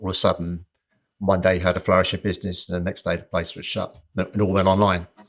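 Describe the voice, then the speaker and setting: A man with a very deep, low pitch talks fairly quickly in a flat monotone. The recording is very clean, with a silent background. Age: 60s. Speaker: personal trainer. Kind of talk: interview conversation.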